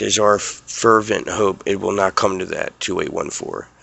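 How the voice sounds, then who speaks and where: Using a raspy, cartoonish character voice, a man speaks at a moderate pace. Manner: formal, commanding.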